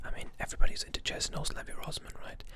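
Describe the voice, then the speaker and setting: A whisper over noticeable background noise. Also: man. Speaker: ASMR artist. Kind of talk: ASMR whispered talk. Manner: whispered, soft-spoken.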